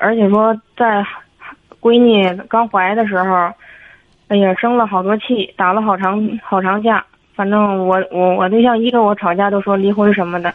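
A woman speaks at a moderate pace with a monotone, flat intonation. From Tianjin, China. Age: 30s. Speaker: caller. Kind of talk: call-in advice conversation. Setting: phone call. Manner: halting.

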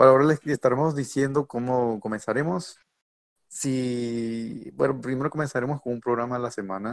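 An ordinary speaking voice from a man, medium in pitch, at a moderate pace with fairly even intonation and a dry, close sound with no echo. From Mexico. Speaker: podcast host, engineering student. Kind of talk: casual chat.

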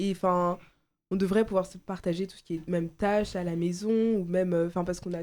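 On a very clean recording with a silent background, a woman with a dark, mellow tone speaks at a moderate pace and medium pitch in a monotone, flat intonation. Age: young (18). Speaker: law student, debate participant. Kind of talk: casual debate.

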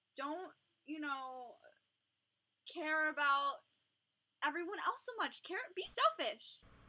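A woman with an American accent speaks very slowly in a raised, projected, extremely high voice, bright and sharp in tone, with lively intonation and long, frequent pauses. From Long Island, New York. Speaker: social work graduate student. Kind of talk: casual interview chat. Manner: animated.

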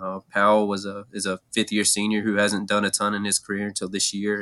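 This man has a fairly low pitch, captured with a dry, close sound and no echo. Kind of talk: conversational interview, analytical preview. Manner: relaxed, analytical, measured.

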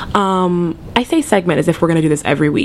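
A woman talks over noticeable background noise. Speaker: podcast host. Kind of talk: casual chat. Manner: animated.

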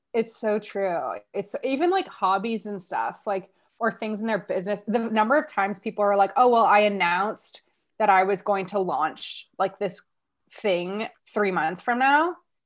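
An ordinary speaking voice belongs to a woman with a Canadian accent and a medium pitch. She goes at a moderate pace with ordinary pitch variation. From Canada, Ottawa. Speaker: business coach. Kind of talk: podcast interview.

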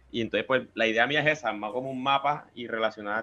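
Spoken at a fairly quick pace with fairly even intonation, this is an ordinary speaking voice. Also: man. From Colombia, Cartagena (Caribbean coast). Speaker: paranormal investigator and chemical engineer. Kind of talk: casual chat.

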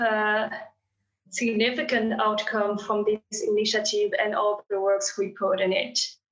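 A woman speaks at a fairly slow pace in a fairly high pitch, with a French accent. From France. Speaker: graduate student. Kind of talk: interview.

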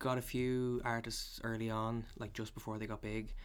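This speaker is a man. He speaks with a Dublin accent. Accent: Dublin Irish. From Ireland, Dublin. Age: 20s. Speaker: photographer. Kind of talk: casual interview.

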